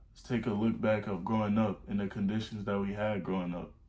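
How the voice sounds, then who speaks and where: Man at a fairly low pitch and fairly quick pace, with audible room echo. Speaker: self-improvement YouTuber. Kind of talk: motivational talk. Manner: fast; animated.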